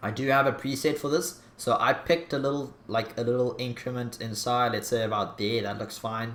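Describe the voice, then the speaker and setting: A man at a medium pitch and moderate pace, with audible room echo and light background noise. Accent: strong Afrikaans. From South Africa. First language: Afrikaans. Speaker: YouTuber. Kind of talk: tutorial. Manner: casual, hesitant with fillers.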